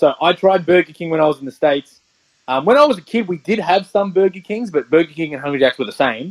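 This man has an Australian accent. He talks at a fairly quick clip. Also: dry, close sound with no echo. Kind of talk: casual chat.

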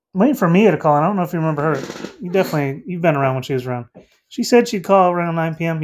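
An animated man with an American accent speaks very fast in a high pitch with lively intonation. The recording is very clean, with a silent background. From North Carolina. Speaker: livestream host. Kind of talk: casual chat.

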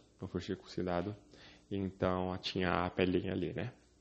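This is a man speaking. His pace is moderate. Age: 20s. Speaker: podcast host. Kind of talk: casual chat. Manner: halting.

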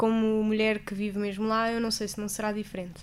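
Her pitch is fairly high. She is a woman keeping a moderate pace. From Portugal. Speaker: traveller. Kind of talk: interview.

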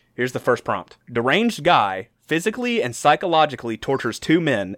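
A man's fairly quick, animated delivery with very wide pitch swings, in a dry, close sound with no echo. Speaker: podcast host. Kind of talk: casual comedic banter. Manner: animated, joking.

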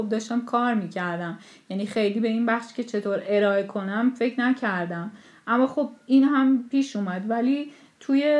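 A woman with an ordinary speaking voice, fairly high in pitch, at a moderate pace with ordinary pitch variation. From Iran, Tehran. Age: 30s. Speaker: sculptor. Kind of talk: interview.

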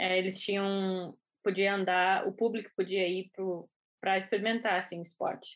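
Her intonation stays monotone and flat as a woman talks at a medium pitch and a moderate pace. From southern Brazil (Rio Grande, Rio Grande do Sul). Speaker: skeleton athlete. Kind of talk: interview.

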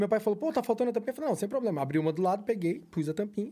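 A man speaks with lively intonation and a high pitch. His tone is dark and mellow. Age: middle-aged. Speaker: auto body and paint shop owner. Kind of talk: casual podcast interview.

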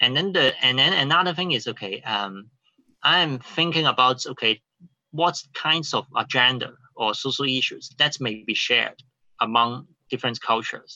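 In a Cantonese accent, a man with a medium pitch and a bright, sharp tone speaks at a moderate pace with lively intonation against a quiet background. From Hong Kong. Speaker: playwright. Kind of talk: interview. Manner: halting.

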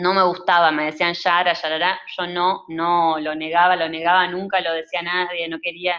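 A woman with a fairly low voice speaks at a moderate pace, hardly pausing, in a monotone, flat intonation. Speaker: cinematographer. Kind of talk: interview.

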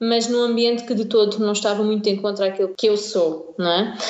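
The recording has audible room echo. A woman speaks in a fairly high voice with fairly even intonation. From Portugal, Algarve (Tavira). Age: 20s. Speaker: blogger. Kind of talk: interview. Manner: hesitant, many fillers.

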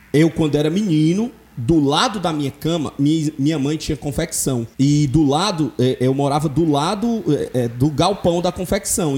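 This man has an unremarkable speaking voice, a fairly high pitch for a man, and a moderate pace. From Brazil, Ceará (Fortaleza). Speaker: podcast host. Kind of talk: casual chat.

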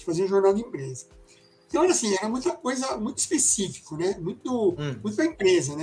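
Noticeable background noise sits behind this recording. The man speaking has a high pitch. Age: 60s. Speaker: illustrator and graphic designer. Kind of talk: casual interview chat. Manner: halting, many fillers.

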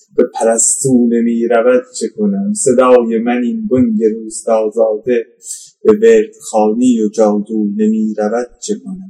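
Speaking at a very slow pace, this man holds a medium pitch. His pitch varies in an ordinary way. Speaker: poet. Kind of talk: personal testimony. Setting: outdoors. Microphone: poor sound quality.

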